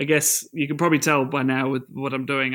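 A man talks at a fairly quick pace with a medium pitch and fairly even intonation. His tone is bright and sharp, and the recording is very clean with a silent background. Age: 20s. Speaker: secondary school science teacher. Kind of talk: casual interview. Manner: hesitant, many fillers.

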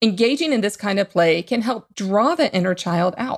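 With lively intonation and a moderate pace, a woman talks in an ordinary speaking voice. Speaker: podcast host. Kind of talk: podcast hosting and interview.

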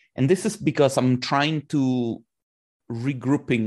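With a quiet background, a man speaks in an ordinary speaking voice, medium in pitch with ordinary pitch variation, at a moderate pace. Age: 30s. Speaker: 3D artist and conference organizer. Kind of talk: interview.

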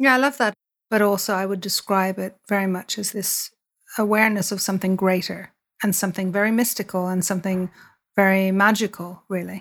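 With a Dublin accent and fairly even intonation, the speaker moves at a fairly quick pace over a very clean recording with a silent background. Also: woman, medium pitch for a woman. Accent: Irish (Dublin). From Ireland, Dublin. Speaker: entrepreneur and podcast host. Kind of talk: interview conversation.

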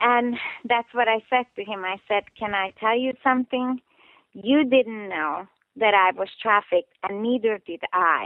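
A woman's fairly high voice with a Hungarian accent, at a fairly slow pace. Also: ordinary pitch variation. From Hungary. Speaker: trafficking survivor and police trainer. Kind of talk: interview. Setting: phone call.

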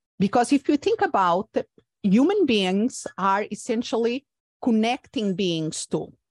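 A woman with a Portuguese accent speaks at a fairly slow pace in a fairly high voice, her intonation lively and the sound dry and close with no echo. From Portugal. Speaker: coach and former therapist. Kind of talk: interview. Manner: halting.

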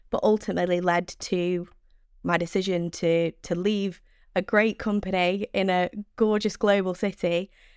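Recorded very cleanly with a silent background and a dry, close sound with no echo, a woman speaks at medium pitch and a moderate pace, her intonation monotone and flat and her loudness very even. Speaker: sales development rep. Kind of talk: casual interview chat. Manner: talkative.

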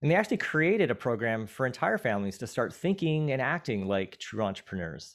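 With hardly any pauses and at a very fast pace, a man speaks at a medium pitch in very wide pitch swings, recorded very cleanly over a silent background. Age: 40s. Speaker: podcast host. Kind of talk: casual chat. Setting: studio.

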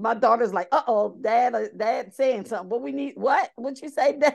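A woman with an American accent speaks at a moderate pace with a fairly high pitch. Her tone is animated and energetic, with vocal fry. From Baltimore, Maryland. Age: 50s. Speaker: author. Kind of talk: interview.

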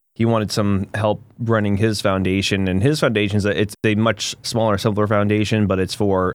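On a very clean recording with a silent background, a man with an American accent and an ordinary speaking voice talks at a fairly quick pace in a fairly low pitch. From US Northeast, New Hampshire. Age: 40s. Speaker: nonprofit executive director. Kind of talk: casual interview.

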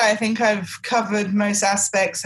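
A woman speaks with an English accent, somewhat breathy. She takes a fairly slow pace against a quiet background. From England. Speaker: technical writer. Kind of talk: interview.

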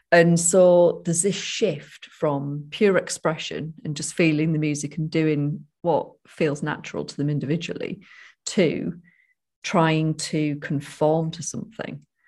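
A woman speaks at a fairly slow pace with a very deep, low pitch. Her intonation is fairly even, and the background is quiet. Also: big swings in loudness. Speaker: podcast co-host, sobriety coach. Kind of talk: casual chat.

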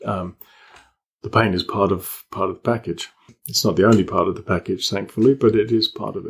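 A man with an English accent talks at a fairly quick pace. His voice is somewhat breathy, with fairly even intonation. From Malta, British family. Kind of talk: interview.

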